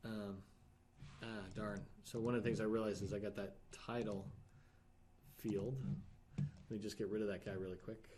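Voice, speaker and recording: A man's fairly low pitch with a fairly even intonation. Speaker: software app reviewer. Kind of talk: screen-share software review. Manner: fast; halting, thinking aloud.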